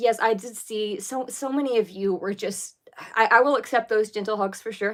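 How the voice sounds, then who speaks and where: A woman speaks at a fairly high pitch with ordinary pitch variation, on a very clean recording with a silent background. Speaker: YouTuber recovering from anorexia. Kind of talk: casual livestream chat. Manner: fast.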